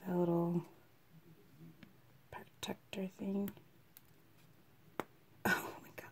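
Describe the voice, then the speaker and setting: A woman speaks at a very slow pace with long, frequent pauses over light background noise. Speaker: beauty vlogger. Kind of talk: casual talk to camera. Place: home room. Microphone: phone near.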